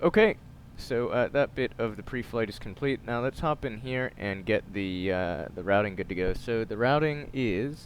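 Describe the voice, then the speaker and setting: Moderately paced male speech at a medium pitch, with ordinary pitch variation. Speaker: flight sim video creator. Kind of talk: gameplay commentary tutorial. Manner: casual with filler hesitations.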